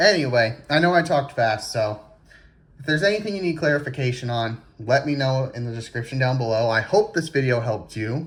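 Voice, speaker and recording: A man's somewhat breathy, medium-pitched voice moves at a fairly quick pace with lively intonation. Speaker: RC car hobbyist YouTuber. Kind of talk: casual tutorial. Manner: stammering repeats.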